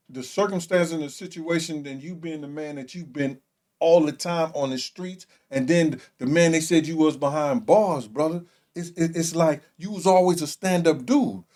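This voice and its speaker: Big swings in loudness mark this man's speech, which has a dark, mellow tone and ordinary pitch variation. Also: fairly high pitch for a man, moderate pace. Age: 60s. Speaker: small podcast host and former prisoner. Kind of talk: casual chat.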